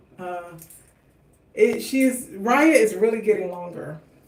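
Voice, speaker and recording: Noticeable background noise and audible room echo accompany a woman who talks at a fairly slow pace. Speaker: hair care vlogger. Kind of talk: livestream tutorial.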